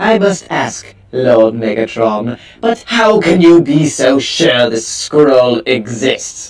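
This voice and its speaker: Put on as a character voice, the delivery is very slow, with very wide pitch swings and hardly any pauses. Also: man, medium pitch for a man. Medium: audio drama. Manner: questioning, insolent.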